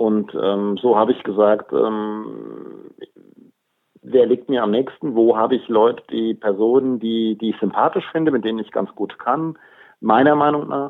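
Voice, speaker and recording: The speaker is a man with an unremarkable speaking voice. His pitch is medium, with ordinary pitch variation. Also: fairly slow pace. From Germany, Hofheim am Taunus (Hesse). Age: 50s. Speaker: police officer and local politician. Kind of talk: interview.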